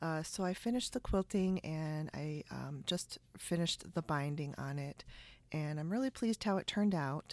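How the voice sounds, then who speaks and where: A woman with a Chicago accent speaks at a very deep, low pitch and a moderate pace, her intonation lively. The recording is very clean with a silent background, and the sound is dry and close with no echo. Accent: Chicago-area American. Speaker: podcast host, sewing and quilting maker. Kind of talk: casual podcast chat and interview. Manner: chatty, laughs often.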